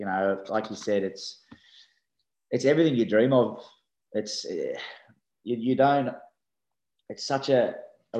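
A man speaks with an Australian accent. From Australia, Sydney. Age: 30s. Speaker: rugby league player. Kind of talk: casual interview. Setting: video call.

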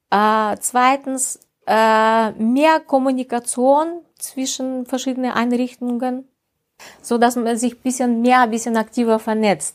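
A woman speaks in a Russian accent at a high pitch. Her pitch varies in an ordinary way. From Russia, Ural region. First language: Russian (speaking German). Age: 50s. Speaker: health mediator and project coordinator. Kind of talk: interview. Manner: halting.

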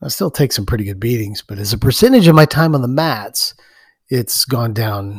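Against a silent background in a very clean recording, a man at medium pitch speaks fairly quickly with lively intonation and a somewhat breathy sound. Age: 50s. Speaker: podcast host and jiu-jitsu practitioner. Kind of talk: solo podcast monologue.

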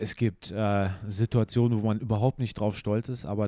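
A man speaks with a dark, mellow tone and fairly even intonation at a moderate pace. The recording is very clean, with a silent background. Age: 30s. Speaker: photographer. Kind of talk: interview.

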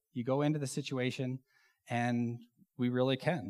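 Recorded very cleanly against a silent background, a man with an ordinary speaking voice talks at a moderate pace, medium in pitch with fairly even intonation. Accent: American. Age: 40s. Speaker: church elder and pilot giving a sermon. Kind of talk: sermon. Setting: church stage with congregation. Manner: casual, with many filler words.

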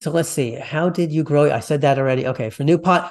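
An ordinary speaking voice with ordinary pitch variation over a quiet background. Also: man. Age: 50s. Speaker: podcast host. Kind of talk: interview conversation.

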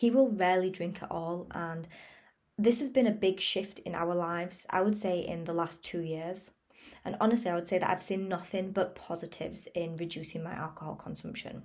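Here a woman speaks in a plain, everyday voice at a medium pitch. Her pace is fairly quick. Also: ordinary pitch variation. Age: 20s. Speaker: wellness podcaster. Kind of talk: motivational monologue.

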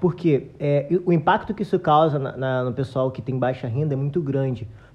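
With a dark, mellow tone, a man speaks in a somewhat breathy voice. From Brazil, Nilópolis (Rio de Janeiro area). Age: 20s. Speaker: agronomist and musician. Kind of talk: casual chat.

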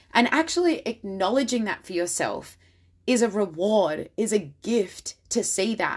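A woman with an Australian accent in a warm, enthusiastic tone, fairly high in pitch with very wide pitch swings. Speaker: confidence and style coach podcaster. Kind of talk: solo podcast monologue, motivational. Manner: warm, enthusiastic, animated.

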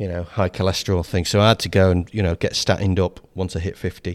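A man with a southern English accent speaks at a fairly quick pace in a very deep, low pitch. The recording is very clean, with a silent background. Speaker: podcast co-host. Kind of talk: casual banter chat. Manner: jokey, self-mocking, talks over partner.

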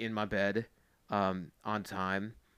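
The intonation is fairly even in a very clean recording with a silent background. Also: man. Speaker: drum corps staff member. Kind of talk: casual chat. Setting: in person, late at night.

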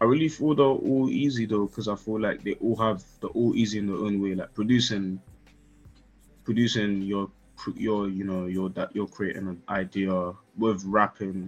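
Music plays in the background as a man talks at a moderate pace with a London accent. His voice is fairly low, with ordinary pitch variation. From Northwest London. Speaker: music artist and producer. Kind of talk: casual interview chat.

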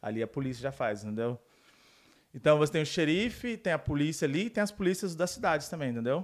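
At a very fast pace, a fairly high-pitched man speaks with very wide pitch swings in a very clean recording over a silent background. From Brazil. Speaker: police officer. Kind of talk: casual chat.

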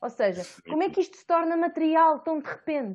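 A woman speaks at a moderate pace in a high voice with very wide pitch swings, over a quiet background. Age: 20s. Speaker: podcast host. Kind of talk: casual chat.

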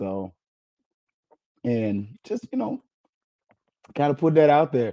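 A man speaks fairly slowly, his pitch swinging widely. His tone is dark, mellow and gravelly.

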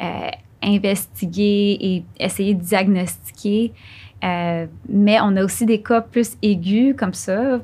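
Very slowly, a woman speaks in a somewhat breathy voice at a medium pitch with fairly even intonation. The recording is very clean, with a silent background. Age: young. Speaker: neurologist. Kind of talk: interview.

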